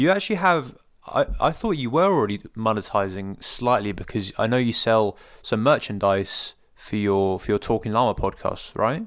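A man with a British accent speaks at a medium pitch with lively intonation, captured in a very clean recording against a silent background. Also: moderate pace. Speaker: podcast host. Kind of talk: casual interview.

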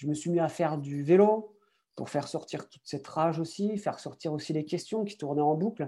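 Dark and mellow in tone, a man speaks at a moderate pace with ordinary pitch variation. The background is quiet. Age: 30s. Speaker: athlete and motivational speaker. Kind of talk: interview. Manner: hesitant.

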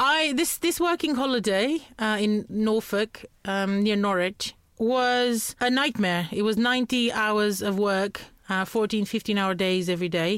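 At a fairly slow pace, a woman with a Romanian accent speaks at a fairly high pitch with lively intonation and very even loudness, in a very clean recording with a silent background. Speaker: communication skills trainer. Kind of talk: interview.

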